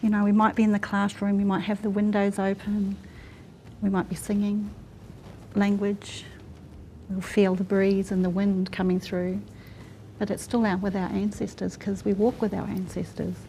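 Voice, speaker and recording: With a dark, mellow tone, a woman speaks in a somewhat breathy, monotone, flat way at a moderate pace, leaving long, frequent pauses. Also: medium pitch for a woman. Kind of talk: panel discussion.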